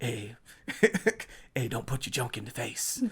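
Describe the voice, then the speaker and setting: A raspy, put-on character voice at a low-to-middle pitch moves along at a moderate pace. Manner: casual, mildly scolding.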